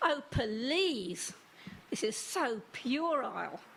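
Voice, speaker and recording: In a put-on character voice, a woman speaks very slowly and sounds whiny, her high pitch making very wide swings over clear background noise. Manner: complaining, disapproving.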